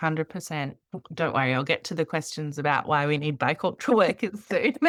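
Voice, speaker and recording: At a fairly quick pace, a woman with an Australian accent and a very deep, low voice talks with ordinary pitch variation in a dry, close sound with no echo. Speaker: podcast host, refugee health worker. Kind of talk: interview podcast conversation.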